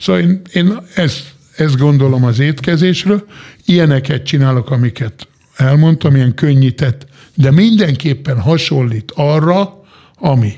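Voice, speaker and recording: Fairly high in pitch and somewhat breathy, a man speaks at a fairly slow pace. His intonation is lively and his loudness very even. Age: 50s. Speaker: chef. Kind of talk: casual chat. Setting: studio.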